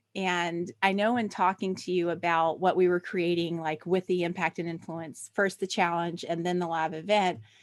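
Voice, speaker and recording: In a Southern US accent, a woman speaks at a fairly slow pace with a fairly low pitch. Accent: Southern American. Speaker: podcast host. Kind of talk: podcast interview. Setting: live stream.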